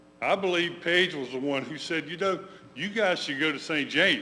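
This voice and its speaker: A loud man with a high pitch and an American accent talks in a room with audible echo. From Georgia, US South. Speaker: memoir author. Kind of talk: talk to congregation. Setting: church room with audience, livestreamed.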